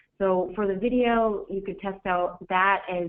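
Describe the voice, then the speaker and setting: A woman with a normal speaking voice talks at a moderate pace, at medium pitch with fairly even intonation. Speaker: marketing director presenting a webinar. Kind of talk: live webinar critique. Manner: casual, with many fillers.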